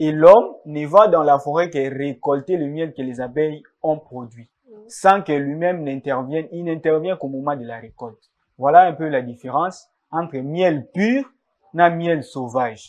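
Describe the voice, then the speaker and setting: Against a quiet background, a man talks at a fairly slow pace with ordinary pitch variation. His loudness swings a lot. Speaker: guest. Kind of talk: interview answer. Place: studio.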